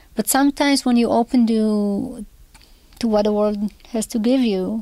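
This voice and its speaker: Speaking at a fairly slow pace with a dark, mellow tone, a woman with an Israeli accent talks in a fairly high pitch and fairly even intonation, the sound dry and close with no echo. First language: Hebrew. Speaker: composer. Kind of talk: interview.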